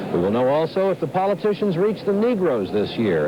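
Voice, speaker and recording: At a fairly quick pace, a man with an American accent talks against noticeable background noise. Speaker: news correspondent. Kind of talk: TV news commentary.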